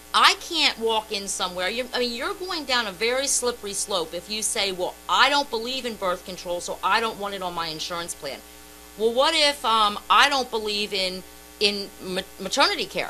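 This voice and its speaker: The speaker uses lively intonation at a moderate pace. Music can be heard in the background. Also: woman, fairly high pitch for a woman. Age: 50s. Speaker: radio co-host. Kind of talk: heated debate. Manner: animated.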